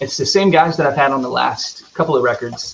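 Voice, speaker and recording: Over noticeable background noise, a man with a Southern accent speaks at a medium pitch. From US South, rural North Carolina. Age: 30s. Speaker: singer-songwriter. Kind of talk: casual chat.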